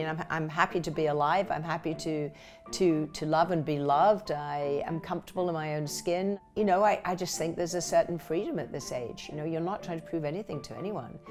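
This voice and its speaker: A woman's fairly low voice at a fairly quick pace, with music in the background. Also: ordinary pitch variation. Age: 60s. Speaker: actress. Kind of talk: interview answer.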